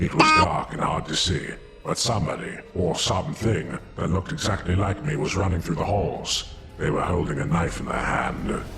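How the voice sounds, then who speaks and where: Moderately paced, put-on character voice over clear background noise. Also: man, very deep, low pitch for a man. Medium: audio drama. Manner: calm, articulate.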